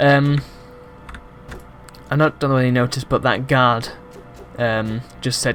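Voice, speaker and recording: A man's fairly even intonation sits over music in the background. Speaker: game reviewer. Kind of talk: casual gameplay commentary.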